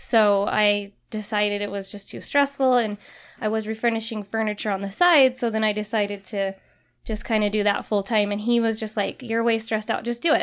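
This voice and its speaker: An unremarkable speaking voice belongs to a woman with an American accent, fairly high pitch, and fairly even intonation. She talks at a fairly quick pace in a very clean recording with a silent background. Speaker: remodeling business owner. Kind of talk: casual chat.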